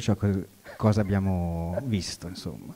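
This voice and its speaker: A man's dark, mellow voice at a very slow pace, against a quiet background. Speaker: workshop participant. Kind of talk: classroom exercise. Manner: hesitant. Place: hall. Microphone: handheld.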